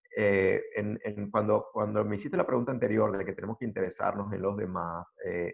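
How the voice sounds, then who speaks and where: At a fairly quick pace with hardly any pauses, a man speaks at a fairly low pitch with fairly even intonation. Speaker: panelist speaking on mental health. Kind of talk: panel discussion on video call.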